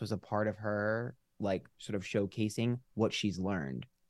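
A man with an ordinary speaking voice, fairly low in pitch with ordinary pitch variation, recorded with a dry, close sound and no echo. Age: 30s. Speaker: tarot reader and YouTuber. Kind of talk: casual chat.

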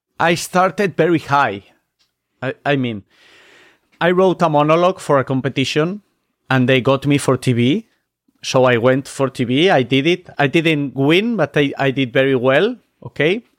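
A man's fairly high voice in a Spanish accent, moderate in pace, with ordinary pitch variation, very even loudness, and long, frequent pauses, in a very clean, dry, close recording with a silent background and no echo. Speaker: magician. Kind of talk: casual chat. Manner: halting non-native English.

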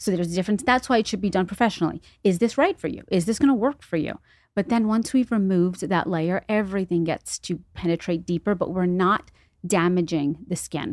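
A woman with an ordinary speaking voice and an American accent talks at a fairly quick pace and medium pitch with ordinary pitch variation, in a very clean recording with a silent background and a dry, close sound with no echo. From New York City, the Bronx. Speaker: esthetician. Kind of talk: interview.

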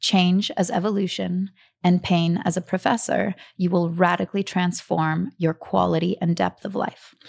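Recorded very cleanly against a silent background, a normal speaking voice moves at a moderate pace in a dry, close sound with no echo. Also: woman. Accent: American. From US South (Atlanta, Georgia). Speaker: storyteller and workshop leader. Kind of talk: interview.

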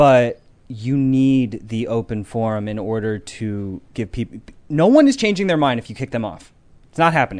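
A man uses a plain, everyday voice, medium in pitch with ordinary variation, moving at a moderate pace. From Connecticut, South Norwalk. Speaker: tech company founder. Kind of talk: casual chat. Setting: studio livestream.

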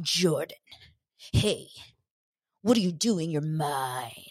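Very slow delivery in a put-on character voice at a middle pitch. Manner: possessive, smoldering.

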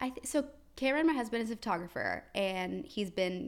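A woman talks at a moderate pace in a normal speaking voice. Her intonation is lively. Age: 20s. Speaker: influencer and business owner. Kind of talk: casual chat.

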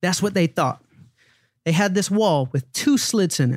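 Speaking with an American accent in an energetic tone, a man keeps a moderate pace on a very clean recording with a silent background and a dry, close sound with no echo. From US South. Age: 30s. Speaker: former music manager turned endurance athlete. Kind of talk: casual interview. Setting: studio. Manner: confident.

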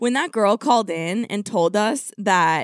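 A woman at medium pitch with lively intonation, an ordinary speaking voice, and a dry, close sound with no echo. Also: very clean recording, silent background. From California. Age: 20s. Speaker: podcast host. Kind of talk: casual chat.

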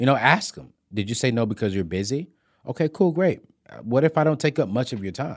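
A man at a fairly quick pace with very wide pitch swings, on a very clean recording with a silent background. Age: 30s. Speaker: personal finance expert. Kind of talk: casual interview. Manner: loud; high-energy.

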